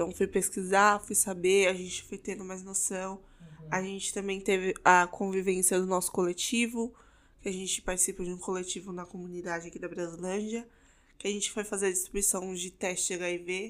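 At a moderate pace, a woman with a medium-pitched voice speaks in a monotone, flat intonation. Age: 20s. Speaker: podcast co-host, pharmacy student. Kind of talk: casual chat.

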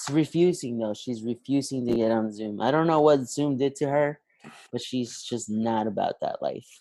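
A man's dark, mellow tone at medium pitch, fairly slow, with ordinary pitch variation. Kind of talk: casual chat. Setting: video call. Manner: casual, joking.

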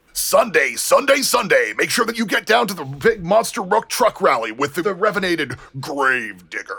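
This man is doing a put-on character voice. It sits high in pitch. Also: moderate pace. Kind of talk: commercial announcer read.

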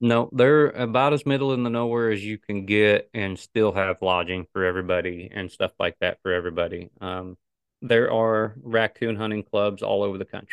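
In a normal speaking voice, a man with an American accent talks at a moderate pace and fairly low pitch with ordinary pitch variation. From northern Missouri, US Midwest. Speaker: coon hunter and pet food representative. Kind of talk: interview conversation.

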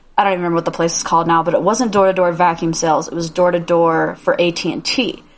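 Speaking at a very fast pace with hardly any pauses, a woman with an American accent has a fairly low pitch and fairly even intonation. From Indiana. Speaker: podcast co-host. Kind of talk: casual chat.

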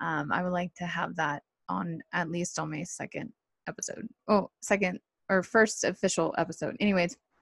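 A woman speaks at a moderate pace with vocal fry and ordinary pitch variation. The sound is dry and close with no echo, over a quiet background. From Southern California. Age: 30s. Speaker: podcast host. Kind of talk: solo podcast monologue. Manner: casual, hesitant with fillers.

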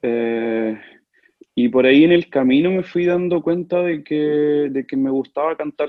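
A man has an unremarkable speaking voice with a fairly high pitch and ordinary pitch variation. He speaks at a fairly slow pace. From Chile, Talca. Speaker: opera singer. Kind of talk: casual interview.

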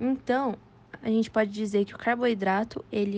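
With a Brazilian accent, a woman speaks fairly slowly in a dark, mellow tone at a fairly high pitch. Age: 20s. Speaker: nutrition student, podcast co-host. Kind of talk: scripted educational explanation.

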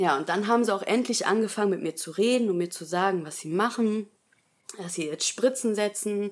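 A woman at medium pitch and a fairly quick pace, a normal speaking voice with big swings in loudness. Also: ordinary pitch variation. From Germany, Essen (Ruhr area). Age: 20s. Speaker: nurse and new mother sharing birth experience. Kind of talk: personal testimony in interview.

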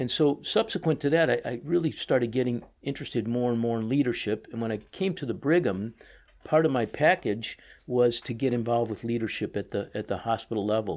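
A man talks fairly quickly in a normal speaking voice, at a medium pitch with ordinary pitch variation. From US Midwest (Chicago). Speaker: orthopedic surgeon, department chief. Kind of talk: interview.

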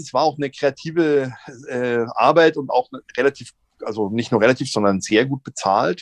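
A plain, everyday voice from a man, fairly high in pitch, with lively intonation, big swings in loudness and a moderate pace, in a dry, close sound with no echo. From Munich, Bavaria. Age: 50s. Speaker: actor and comedian. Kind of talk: casual interview. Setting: virtual studio.

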